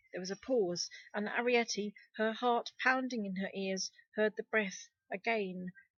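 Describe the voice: The delivery is plain reading aloud with ordinary pitch variation. The background is quiet.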